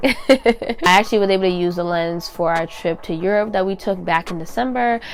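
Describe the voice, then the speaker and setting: Over music in the background, a woman talks at a moderate pace in a medium pitch with ordinary pitch variation. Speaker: digital content creator. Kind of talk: casual talk to camera.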